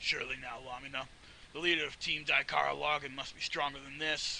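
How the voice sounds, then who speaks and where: Putting on a character voice, a man sounds raspy at a fairly high pitch, speaking at a fairly quick pace over clear background noise. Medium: read story.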